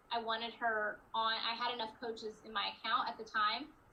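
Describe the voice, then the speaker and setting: A woman speaks at a moderate pace in a fairly high voice. Background noise is noticeable. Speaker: network marketing coach. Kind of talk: team training call Q&A.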